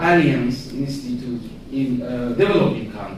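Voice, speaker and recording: A man at a very slow pace, with ordinary pitch variation, audible room echo and noticeable background noise. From Iran. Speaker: academic researcher. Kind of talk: panel discussion comment. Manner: halting.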